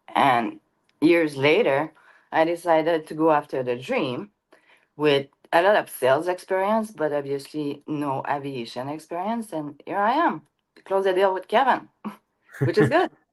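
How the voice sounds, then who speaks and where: On a very clean recording with a silent background, a woman with a strong French Canadian accent speaks at a moderate pace in a very deep, low pitch with lively intonation. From Quebec. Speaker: private jet broker. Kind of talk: interview.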